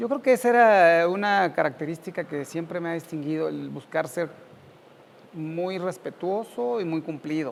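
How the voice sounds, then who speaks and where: A man with a high pitch and ordinary pitch variation speaks at a moderate pace. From central Mexico (Cuautla, Morelos), then Mexico City. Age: 50s. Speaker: university professor. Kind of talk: interview.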